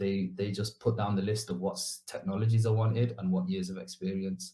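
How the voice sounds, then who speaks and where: Speaking fairly quickly in a Mancunian accent, a man has a fairly low pitch, a dark, mellow tone that is somewhat breathy, and ordinary pitch variation. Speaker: bootcamp graduate, junior developer. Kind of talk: interview. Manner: fast; casual, hesitant fillers.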